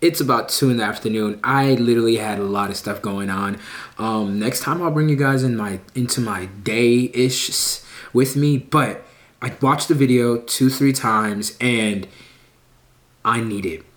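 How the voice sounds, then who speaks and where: A man at a medium pitch talks through noticeable background noise. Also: ordinary pitch variation, moderate pace. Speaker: tech YouTuber. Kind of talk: casual vlog. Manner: animated.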